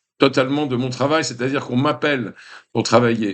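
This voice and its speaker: Fairly even intonation from a man with a medium-pitched voice. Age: 60s. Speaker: vlogger, retired film set designer. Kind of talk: casual vlog monologue. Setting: indoors in his apartment. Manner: hesitant with many fillers.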